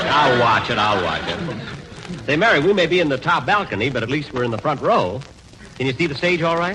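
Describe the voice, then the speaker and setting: A man's fairly high voice at a fairly quick pace, full of very wide pitch swings, over noticeable background noise. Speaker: radio comedian in a scripted sketch. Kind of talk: old-time radio comedy show. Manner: exasperated, stingy and vain.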